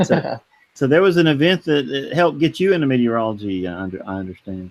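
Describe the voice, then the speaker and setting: Very wide pitch swings run through this man's speech. He talks at a very fast pace. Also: medium pitch for a man. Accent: American. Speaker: weather podcast co-host. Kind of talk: casual chat. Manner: hesitant, many uh fillers.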